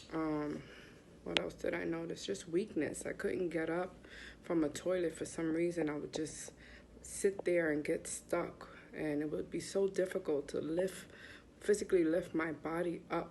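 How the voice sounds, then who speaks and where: A woman with an American accent talks at a moderate pace in a fairly low pitch with vocal fry. Her intonation is fairly even. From US Northeast, Bronx, New York. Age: 40s. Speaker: patient sharing illness story. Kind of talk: testimony.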